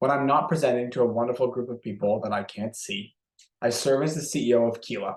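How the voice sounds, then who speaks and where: Speaking at a very fast pace, a man with a Canadian accent uses a medium pitch with ordinary pitch variation. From Canada. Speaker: software company executive. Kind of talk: webinar presentation. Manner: lower energy than usual.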